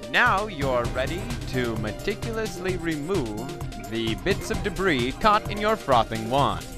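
Music plays in the background as a man speaks at a fairly slow pace. His fairly high pitch moves in very wide swings. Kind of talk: parody instructional voiceover.

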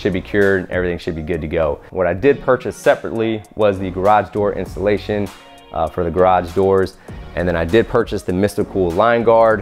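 A man with a fairly low pitch speaks at a fairly quick pace with ordinary pitch variation over faint background music. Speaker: DIY video creator. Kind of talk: tutorial. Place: garage.

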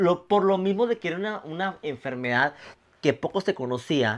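Ordinary pitch variation in a man's speech. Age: 30s. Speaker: nightclub entertainer with ichthyosis; podcast guest. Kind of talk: casual chat; interview answer. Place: home room. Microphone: lapel.

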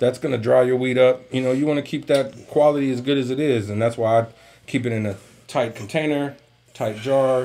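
The man talks very fast, and his pitch moves in an ordinary way. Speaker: podcast co-host. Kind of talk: casual podcast chat. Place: home room.

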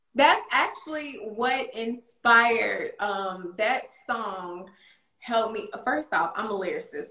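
A woman's fairly high voice at a very slow pace, with ordinary pitch variation, audible room echo and a quiet background. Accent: North Carolina. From US South. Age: 30s. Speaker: domestic abuse survivor and poet; interview guest, poet. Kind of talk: interview. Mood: earnest, reflective, encouraging. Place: home room. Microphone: video call.

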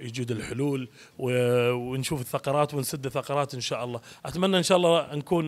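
A man, using ordinary pitch variation, talks at a fairly quick pace. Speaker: actor promoting a play. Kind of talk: interview answer. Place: hall. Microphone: handheld.

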